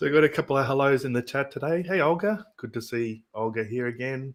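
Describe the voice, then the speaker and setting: A man with an Australian accent speaks at a moderate pace. His pitch is fairly high, with ordinary variation. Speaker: podcast host. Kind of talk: casual chat.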